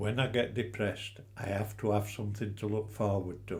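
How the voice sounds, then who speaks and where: Somewhat breathy and fairly low in pitch, a man speaks at a fairly slow pace with audible room echo. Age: 80s+. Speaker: retired angler living with cancer. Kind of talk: interview.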